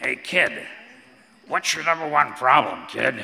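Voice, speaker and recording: A put-on character voice from a man, raspy and gravelly, at a fairly slow pace. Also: fairly high pitch for a man. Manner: blunt, confrontational.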